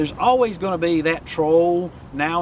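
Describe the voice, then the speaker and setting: With noticeable noise behind him, this man talks fairly quickly. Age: 60s. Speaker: YouTube coach. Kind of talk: vlog tutorial.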